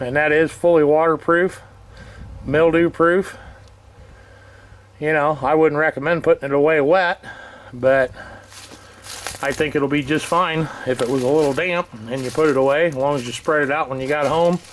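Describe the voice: With long, frequent pauses, a man of fairly high pitch speaks at a moderate pace and with fairly even intonation.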